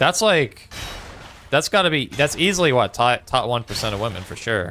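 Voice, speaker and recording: A man with a Newfoundland accent talks at a fairly quick pace in a medium pitch. His bright, sharp tone makes very wide pitch swings. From Newfoundland, Canada (St. John's). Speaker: gaming streamer. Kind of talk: casual livestream chat while gaming. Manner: casual, conversational.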